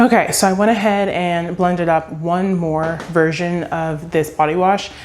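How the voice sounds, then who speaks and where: A woman with a fairly low-pitched voice talks over noticeable background noise. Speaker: small business owner and vlogger. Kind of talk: casual vlog talk to camera. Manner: fast.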